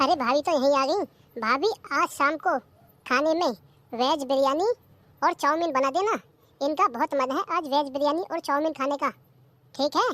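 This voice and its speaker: Using a high, cartoonish character voice, a woman talks at a fairly quick pace broken by long, frequent pauses, in a dry, close sound with no echo. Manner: sharp, domineering.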